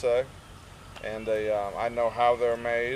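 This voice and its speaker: Noticeable background noise surrounds a man with an American accent. He keeps a moderate pace. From US South, Gatlinburg, Tennessee. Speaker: traveling salesman. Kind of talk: casual interview. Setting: outdoors at a festival.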